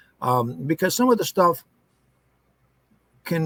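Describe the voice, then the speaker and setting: Speaking with a western Pennsylvania accent, a man keeps a fairly slow pace. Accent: western Pennsylvania American. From US, northwest Pennsylvania. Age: 50s. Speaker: foundry worker telling paranormal experiences. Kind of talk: podcast interview. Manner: halting, many fillers.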